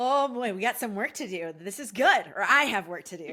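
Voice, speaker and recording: A woman speaks loudly in a bright, sharp tone. The recording is very clean, with a silent background. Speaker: podcast host, mental health therapist. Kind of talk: interview chat.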